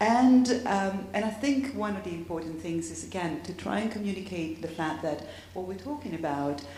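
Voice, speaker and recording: A woman's medium-pitched voice with lively intonation at a moderate pace, hardly any pauses, noticeable background noise and audible room echo. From Tuscany, Italy (Cortona). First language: Italian. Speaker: academic panelist. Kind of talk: panel discussion.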